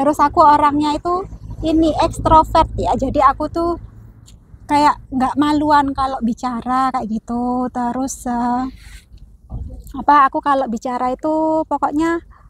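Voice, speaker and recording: Her voice is high-pitched, with ordinary pitch variation, and the woman speaks at a fairly slow pace. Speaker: vlogger. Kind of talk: casual chat. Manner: talkative.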